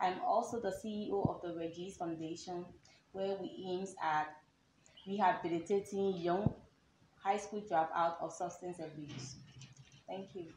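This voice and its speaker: At a fairly slow pace, a woman speaks in a somewhat breathy, medium-pitched voice with ordinary pitch variation, big swings in loudness and long, frequent pauses, in a room with audible echo. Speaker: pageant contestant. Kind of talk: interview.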